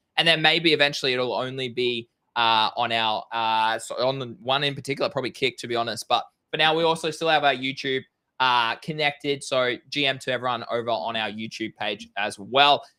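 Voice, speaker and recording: Bright, sharp tone from a man at medium pitch, ordinary pitch variation and a fairly quick pace, on a very clean recording with a silent background. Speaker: crypto stream co-host. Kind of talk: casual livestream chat. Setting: home livestream, hot room. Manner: animated.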